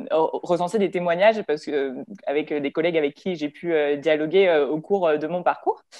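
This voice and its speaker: A normal speaking voice from a woman at a moderate pace, with ordinary pitch variation against a quiet background. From France, Lyon; France. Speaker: engineer, strategic planning supervisor; panelist. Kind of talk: panel talk. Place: home room. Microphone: video call.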